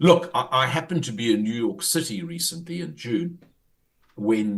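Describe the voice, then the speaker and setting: This man speaks at a fairly slow pace. His pitch swings very widely, with vocal fry throughout. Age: 60s. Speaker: former party leader, political analyst. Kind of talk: radio interview.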